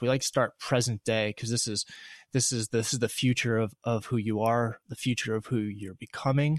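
A man talks at a fairly quick pace in a flat monotone, recorded dry and close with no echo against a quiet background. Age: 30s. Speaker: podcast host. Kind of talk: casual interview; scripted intro.

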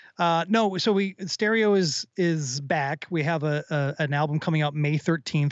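A normal speaking voice from a man in an American accent, fairly high-pitched, with ordinary pitch variation. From US Midwest (Minnesota suburbs). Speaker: rock musician. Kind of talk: casual chat.

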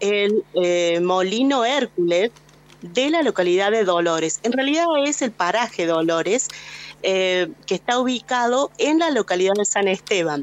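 A woman speaks in a plain, everyday voice at a fairly high pitch. Her pace is fairly slow and her intonation is lively. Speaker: radio reporter. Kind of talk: radio field report. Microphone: voice echoes a little.

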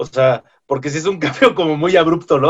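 With a plain, everyday voice, a man talks at a fairly high pitch and with ordinary pitch variation. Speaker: podcast co-host. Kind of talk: casual chat.

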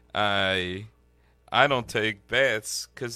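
A man is speaking. His tone is bright and sharp. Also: very clean recording, silent background. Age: 30s. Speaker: artist. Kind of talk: casual chat.

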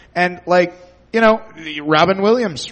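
A man with an ordinary speaking voice, lively intonation and a moderate pace. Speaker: audience contestant.

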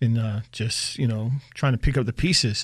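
In a normal speaking voice, a man with an American accent talks at medium pitch and a fairly slow pace. His intonation stays fairly even on a very clean recording with a silent background. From Pennsylvania, Reading. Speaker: theater company founder and writer. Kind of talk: interview.

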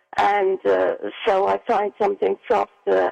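The sound is dry and close with no echo, with noticeable background noise. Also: woman. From England. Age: 80s+. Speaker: caller, widow. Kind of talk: call-in radio conversation. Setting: phone call. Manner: halting, repetitive.

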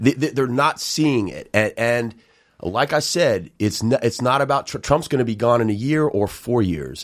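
In an American accent, a man talks at a moderate pace with ordinary pitch variation on a very clean recording with a silent background. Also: medium pitch for a man. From New York City. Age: 50s. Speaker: retired soldier and TV host. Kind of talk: casual chat. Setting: studio. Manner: halting.

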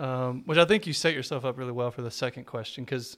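Very fast and medium in pitch, a man talks with an American accent. The recording is very clean, with a silent background. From Texas. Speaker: pastor. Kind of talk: casual chat.

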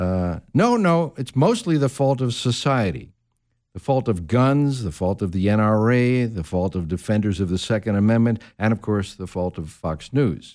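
Medium-pitched male speech in a normal speaking voice, intonation lively. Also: very clean recording, silent background. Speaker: guest radio host. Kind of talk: talk radio discussion. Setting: radio studio.

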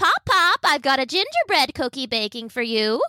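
A woman uses a put-on character voice with a high pitch and lively intonation. She talks at a moderate pace, the sound dry and close with no echo. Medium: read story.

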